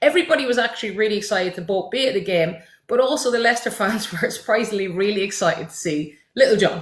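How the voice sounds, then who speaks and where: With an Irish accent, a woman races along at a very fast pace, her fairly high voice showing lively intonation and big swings in loudness. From Ireland. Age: 30s. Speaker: football content creator. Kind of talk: casual chat. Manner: animated.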